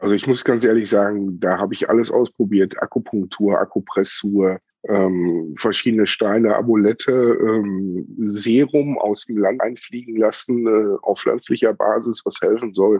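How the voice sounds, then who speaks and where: In a plain, everyday voice, a man speaks at a fairly slow pace and fairly low pitch, with fairly even intonation and hardly any pauses. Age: 40s. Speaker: chronic pain patient and cannabis medicine advisor. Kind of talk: interview testimony.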